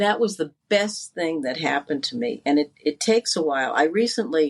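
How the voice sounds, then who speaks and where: A woman with an American accent has a very deep, low pitch. She speaks at a fairly quick pace with lively intonation. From Connecticut, US East Coast. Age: 60s. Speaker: life coach. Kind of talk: interview.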